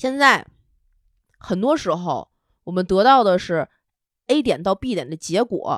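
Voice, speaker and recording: A woman talks at a fairly slow pace with long, frequent pauses and very wide pitch swings, in a dry, close sound with no echo. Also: medium pitch for a woman, very clean recording, silent background. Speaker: podcast co-host. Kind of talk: casual chat.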